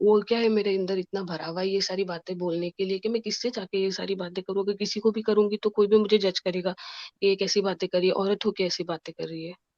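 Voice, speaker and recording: A woman puts on a character voice of medium pitch, sounding shaky. She talks very fast with hardly any pauses. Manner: talking fast, shaky.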